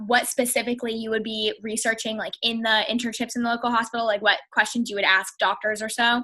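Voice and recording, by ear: A woman speaks at a fairly high pitch with a bright, sharp tone. Her pitch moves very little.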